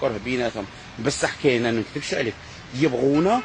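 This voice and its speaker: A man talks in an animated tone with very wide pitch swings as noticeable background noise plays behind him. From Algeria. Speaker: vlogger. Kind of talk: casual vlog monologue.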